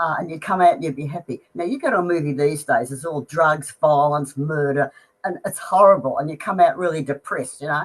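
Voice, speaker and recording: Fairly quick with hardly any pauses, a woman with an Australian accent speaks at a very deep, low pitch with ordinary variation and big swings in loudness. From Australia, Melbourne. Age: 70s. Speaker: music fan. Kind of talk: interview.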